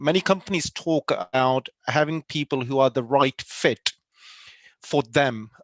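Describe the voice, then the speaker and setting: Recorded dry and close with no echo against a quiet background, a man with a non-native accent speaks at a fairly high pitch with ordinary pitch variation. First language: not English. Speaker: panellist. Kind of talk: panel discussion. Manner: halting.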